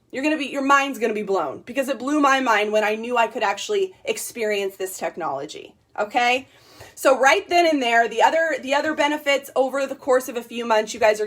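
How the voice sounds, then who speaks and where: The speaker is loud and animated, moving at a fairly quick pace with lively intonation. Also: woman. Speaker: network marketing distributor. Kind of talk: sales pitch. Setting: livestream.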